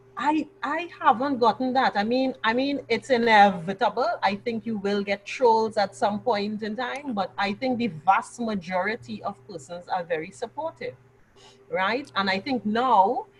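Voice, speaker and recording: Lively intonation from a woman with a fairly high voice, at a fairly slow pace over noticeable background noise. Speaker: business communicator. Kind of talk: interview answer.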